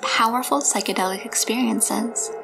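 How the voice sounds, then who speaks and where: A woman's fairly high voice, with ordinary pitch variation, comes through over background music. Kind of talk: documentary narration.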